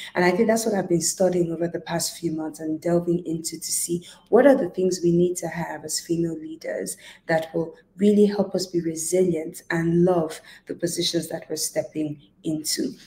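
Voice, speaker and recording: With a plain, everyday voice, a woman of fairly low pitch speaks at a moderate pace with fairly even intonation. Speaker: leadership coach. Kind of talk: motivational talk to camera. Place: home room. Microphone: earbuds.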